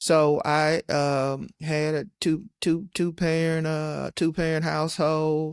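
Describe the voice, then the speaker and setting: With a slight Southern US accent, a man speaks at a very slow pace and a fairly high pitch, in a monotone, flat way with hardly any pauses. The sound is dry and close with no echo, in a very clean recording with a silent background. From western Michigan. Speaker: county administrator. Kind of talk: interview.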